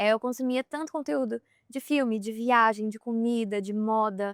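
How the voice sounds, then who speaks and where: A woman's voice at a fairly high pitch. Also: dry, close sound with no echo. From Brazil, Pará (Belém). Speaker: content creator and influencer. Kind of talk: podcast interview. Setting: outdoors on a boat at sea. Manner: soft-spoken.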